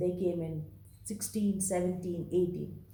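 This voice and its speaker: In a Bengali accent, a woman speaks fairly slowly with a dark, mellow tone amid audible room echo. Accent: Indian English, Bengali. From India, Bengal. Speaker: vlogger. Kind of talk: monologue vlog.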